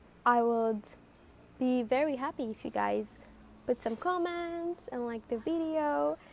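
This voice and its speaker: With a non-native accent, a woman talks at a fairly slow pace, leaving long, frequent pauses. Her voice is high, with very wide pitch swings. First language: not English. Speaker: self-help podcaster. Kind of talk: motivational monologue. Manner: repetitive, emphatic.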